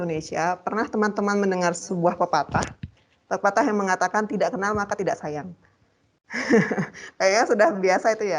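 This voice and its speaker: Here a woman is speaking. Her pitch is medium, with ordinary variation. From Bali, Gianyar. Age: 30s. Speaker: university lecturer. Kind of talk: lecture.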